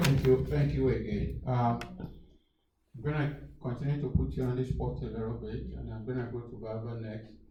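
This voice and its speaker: With audible room echo, a man of medium pitch speaks at a moderate pace in a dark, mellow tone with vocal fry, very wide pitch swings and big swings in loudness. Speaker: panel moderator. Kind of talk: moderating a panel discussion.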